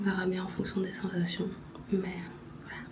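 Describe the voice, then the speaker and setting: A woman with a medium pitch talks at a moderate pace in monotone, flat intonation, with audible room echo. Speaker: watercolour artist and vlogger. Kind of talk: casual vlog talk. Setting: hotel room.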